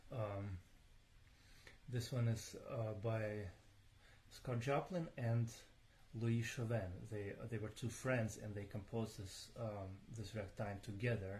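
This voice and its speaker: Recorded with audible room echo, a man speaks very slowly at a medium pitch, somewhat breathy, with fairly even intonation and long, frequent pauses. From Ukraine. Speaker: pianist. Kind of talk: live stream talk between pieces. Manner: hesitant, many fillers and repeats. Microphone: voice too quiet, moves closer to mics.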